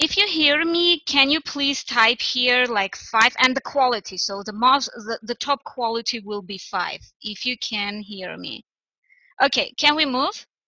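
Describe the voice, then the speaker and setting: A woman's high-pitched voice has a bright, sharp tone and lively intonation, with big swings in loudness. She goes at a fairly slow pace in a dry, close sound with no echo. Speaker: English teacher. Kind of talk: online lesson.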